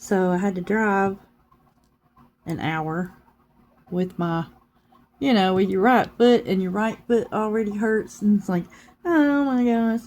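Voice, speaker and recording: Pausing long and often, a woman speaks at a fairly slow pace in a medium pitch with ordinary pitch variation. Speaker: crafting YouTuber. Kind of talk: casual chat. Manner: calm and subdued.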